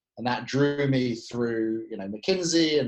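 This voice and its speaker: At a moderate pace, a man with a British accent speaks at a medium pitch with ordinary pitch variation. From UK. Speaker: tech company CEO. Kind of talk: podcast interview.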